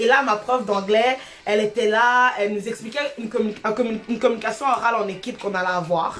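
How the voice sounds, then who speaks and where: At a fairly quick pace and fairly high pitch, a woman speaks over noticeable background noise. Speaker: abuse survivor sharing her story. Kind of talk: testimony. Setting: live stream. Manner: energetic.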